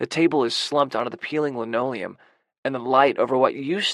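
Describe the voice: Plain reading aloud with ordinary pitch variation plays over a quiet background.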